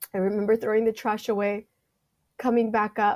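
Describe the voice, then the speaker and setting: A woman with a Californian accent speaks at a fairly high pitch and a moderate pace, in a dark, mellow tone with monotone, flat intonation. The recording is very clean with a silent background. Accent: Californian American. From US West Coast, San Francisco Bay Area. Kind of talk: testimony.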